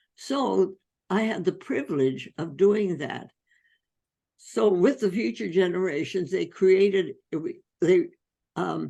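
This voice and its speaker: A woman talks very slowly, leaving long, frequent pauses, with a dark, mellow tone and vocal fry. Her pitch swings very widely. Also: medium pitch for a woman. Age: 80s+. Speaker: physician. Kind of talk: interview answer.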